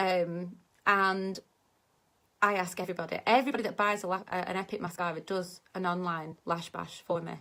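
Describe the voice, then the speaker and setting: In a very clean recording with a silent background, a woman speaks in a plain, everyday voice at medium pitch with fairly even intonation. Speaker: direct sales consultant and vlogger. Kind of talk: tutorial.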